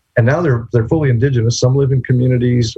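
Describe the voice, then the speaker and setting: With music in the background, a man talks at a very fast pace in a medium pitch. The sound is dry and close, with no echo. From New Mexico. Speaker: law professor. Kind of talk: lecture.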